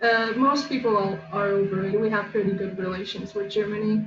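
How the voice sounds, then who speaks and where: A woman speaks at a fairly high pitch. Music plays in the background, and room echo is audible. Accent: Polish. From Poland. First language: Polish. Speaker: artist. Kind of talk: casual chat.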